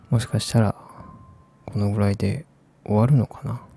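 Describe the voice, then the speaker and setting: A man whispers quietly in a soothing tone. Music plays in the background, and the sound is dry with no echo. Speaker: ASMR game streamer. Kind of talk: casual talk to camera while playing a game. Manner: quiet, whispery, slow, soothing. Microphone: studio mic.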